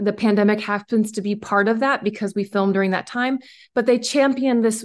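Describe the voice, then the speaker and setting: A woman with an unremarkable speaking voice and an American accent, fairly high in pitch, with ordinary pitch variation and a quiet background. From rural West Virginia, Randolph County. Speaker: documentary filmmaker. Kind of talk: casual interview.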